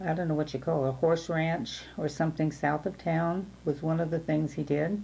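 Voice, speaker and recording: With an American accent, a woman speaks in a fairly low pitch, with a dark, mellow tone and fairly even intonation. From Dixon, California (US West). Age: 70s. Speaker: oral history interviewee. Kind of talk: oral history interview. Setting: at home. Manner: halting, many fillers.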